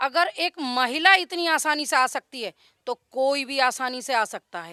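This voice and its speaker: A woman speaks in a high, raised and projected voice with a bright, sharp tone and a slight Haryanvi accent. Her intonation is lively, her loudness swings widely, and the sound is dry and close with no echo. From Haryana, India. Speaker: local villager interviewed. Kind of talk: street interview.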